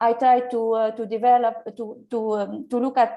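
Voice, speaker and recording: A woman speaks at a fairly slow pace with a fairly high pitch and a dark, mellow tone. The background is quiet. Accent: Arabic. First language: Arabic. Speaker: teacher. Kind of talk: audience question. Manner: halting, many fillers.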